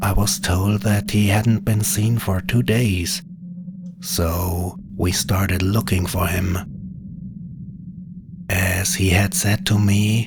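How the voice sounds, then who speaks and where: With a southern German accent, a man speaks at a very slow pace in a fairly low pitch with fairly even intonation. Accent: South German. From Bavaria, South Germany. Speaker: storyteller. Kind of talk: horror story narration.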